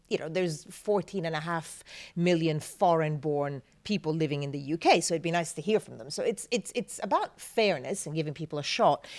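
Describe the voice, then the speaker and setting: On a very clean recording with a silent background, a woman with a non-native accent talks fairly quickly at a fairly low pitch, with ordinary pitch variation and big swings in loudness. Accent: foreign accent, non-native English. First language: Italian. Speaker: journalist and TV news presenter. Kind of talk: interview answer.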